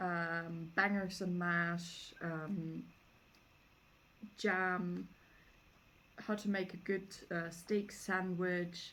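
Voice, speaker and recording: In a German accent, a woman speaks at medium pitch with monotone, flat intonation. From Germany. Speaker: homesteading vlogger. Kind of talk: casual book review. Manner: casual, many fillers.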